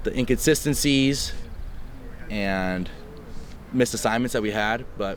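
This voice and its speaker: A man at a fairly quick pace with ordinary pitch variation, audible room echo around him. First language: Spanish. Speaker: college football quarterback. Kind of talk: press conference Q&A. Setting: media availability after practice.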